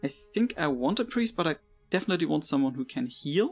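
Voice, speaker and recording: The speaker has a German accent. Music plays in the background. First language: not English. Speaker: let's play gamer. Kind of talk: casual gameplay commentary.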